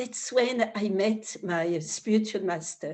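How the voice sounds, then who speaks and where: A woman with a French accent speaks at a very slow pace, her fairly high voice moving with ordinary pitch variation. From France, Paris. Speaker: spiritual teacher. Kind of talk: spiritual talk. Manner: halting.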